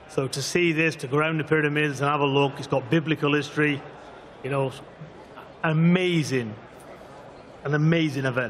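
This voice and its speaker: With audible room echo and noticeable background noise, a man at a fairly high pitch speaks with fairly even intonation and long, frequent pauses. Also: fairly quick pace. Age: 50s. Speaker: boxing trainer. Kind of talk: press conference answer. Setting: press conference with audience.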